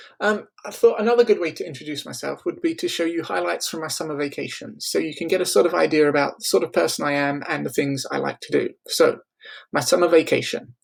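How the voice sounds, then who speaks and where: A man talking at a very fast pace with a slight English accent, his loudness swinging widely. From England. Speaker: school librarian. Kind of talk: scripted narration.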